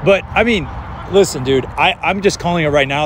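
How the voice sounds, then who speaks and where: A man talks at a very fast pace with ordinary pitch variation. The sound is dry with no echo, and there is noticeable background noise. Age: 30s. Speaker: amateur football commentator. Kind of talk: live commentary. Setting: outdoors. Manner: casual. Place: stadium.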